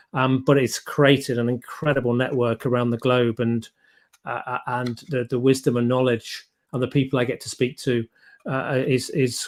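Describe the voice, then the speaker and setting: On a very clean recording with a silent background, a man with an English accent speaks at a medium pitch in a monotone, flat way. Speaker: podcast host and business coach. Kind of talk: interview.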